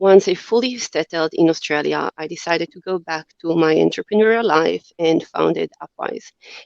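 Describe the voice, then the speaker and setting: A woman in an Israeli accent talks at a moderate pace with hardly any pauses and big swings in loudness, the sound dry and close with no echo. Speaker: company CEO. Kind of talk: podcast interview.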